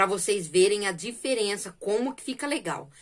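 Lively intonation against a quiet background. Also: woman. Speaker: crochet channel host. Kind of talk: casual vlog chat. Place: home room. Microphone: phone near.

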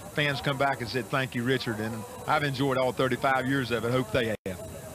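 A man talks at a moderate pace, the sound dry with no echo, while noticeable background noise runs behind him. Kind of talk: interview answer. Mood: warm, grateful, smiling. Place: car. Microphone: handheld.

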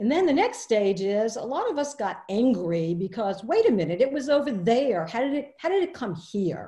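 Over a quiet background, a woman with a dark, mellow, somewhat breathy tone speaks at a moderate pace with very wide pitch swings. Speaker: webinar presenter. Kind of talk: lecture. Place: home room. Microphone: webcam.

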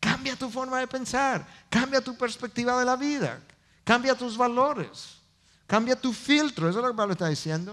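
Bright and sharp in tone, a man speaks at an extremely high pitch, with ordinary pitch variation and a moderate pace. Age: 50s. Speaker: pastor. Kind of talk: sermon. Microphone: headset.

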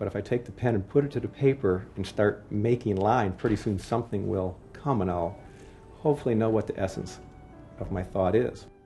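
With music in the background, a man with an American accent talks at a fairly quick pace and fairly low pitch. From Ohio, USA. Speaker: sculptor. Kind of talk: interview answer. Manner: soft-spoken, shy.

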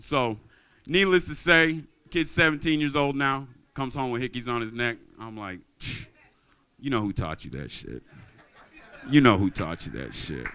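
A man with a bright, sharp tone, a moderate pace, and long, frequent pauses. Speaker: amateur stand-up comedian. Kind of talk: open-mic stand-up comedy, crude and profane. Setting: stage with audience at open mic night. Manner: animated, brash, swearing-heavy, casual storyteller. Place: stage. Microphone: handheld.

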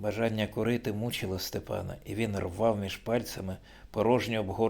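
Fairly even intonation in a passage of reading aloud in a natural voice

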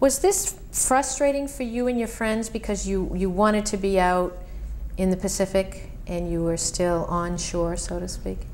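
With light background noise, a woman talks at a moderate pace. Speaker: oral history interviewer. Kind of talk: oral history interview. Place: home room.

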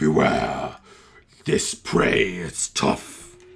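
A man puts on a character voice. It comes out raspy. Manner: menacing, taunting.

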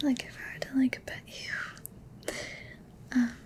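Whispering breathily, someone speaks at a very slow pace. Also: woman. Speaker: roleplay creator. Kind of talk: intimate roleplay chat to viewer. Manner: soft, breathy, intimate ASMR murmur. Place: home room.

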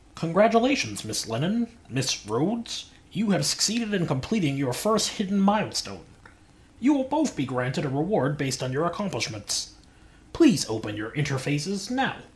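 Doing a put-on character voice, a man speaks in a high pitch at a moderate pace, with very wide pitch swings. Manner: smug, formal, then menacing.

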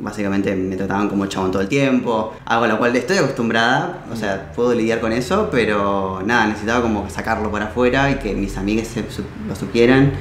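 A man with a fairly low pitch talks at a fairly quick pace, hardly pausing, with ordinary pitch variation. Audible room echo and light background noise are present. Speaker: interviewee. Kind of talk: interview answer. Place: home room.

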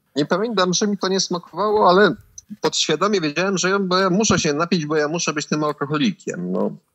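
Talking at a very fast pace, a man with a high voice shows ordinary pitch variation. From Poland, Puławy. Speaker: recovering addict. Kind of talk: personal testimony. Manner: halting, repeats words.

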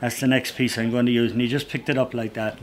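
Medium-pitched male voice in an Irish accent, with light background noise. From Ireland. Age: 80s+. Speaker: woodcarver and storyteller. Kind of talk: interview answer. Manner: witty, anecdotal. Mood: animated, humorous. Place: workshop.

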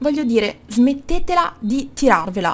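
Her high voice, a woman's, moves through very wide pitch swings. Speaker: YouTuber. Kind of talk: casual talk to camera, opinion rant.

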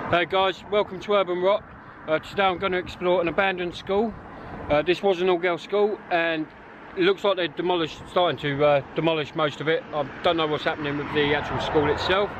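Fairly even intonation in a dry sound with no echo, amid noticeable background noise. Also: man, high pitch for a man, fairly quick pace. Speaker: urban explorer vlogger. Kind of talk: casual vlog chat. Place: street. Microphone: phone near.

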